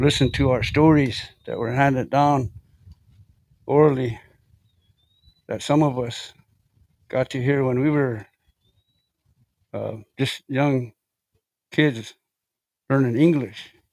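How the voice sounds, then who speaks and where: A man with a Lakota accent at a very slow pace, with fairly even intonation and long, frequent pauses. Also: medium pitch for a man. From South Dakota, Lakota community. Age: 60s. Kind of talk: testimony. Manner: halting, many fillers.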